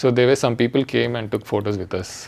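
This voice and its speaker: A man with a South Indian accent talks at a very fast pace with a medium pitch and fairly even intonation. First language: Telugu. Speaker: international cricketer. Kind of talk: casual chat. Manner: halting.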